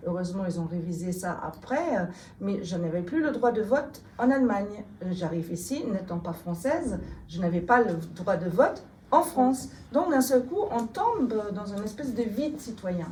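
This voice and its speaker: With a slight German accent, a woman speaks at a medium pitch and a moderate pace. Her pitch swings very widely, and there is audible room echo. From Germany. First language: German (speaking French). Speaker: politician. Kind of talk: interview. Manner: hesitant, many fillers.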